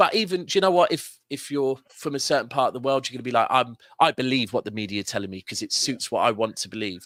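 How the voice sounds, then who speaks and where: A man with a southern English accent speaks very fast at a medium pitch, with lively intonation. The sound is dry and close, with no echo. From Manchester, northern England. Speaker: football fan pundit. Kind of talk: casual chat. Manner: animated.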